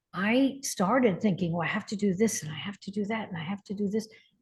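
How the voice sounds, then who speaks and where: A woman speaks in a somewhat breathy voice with a dark, mellow tone. The background is quiet. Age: 70s. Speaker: spiritual healer and teacher. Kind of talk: interview conversation.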